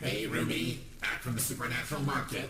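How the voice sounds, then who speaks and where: A cartoonish character voice talks at a fairly quick pace. Loud background noise and a slight echo surround it. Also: man, medium pitch for a man. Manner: casual, weary.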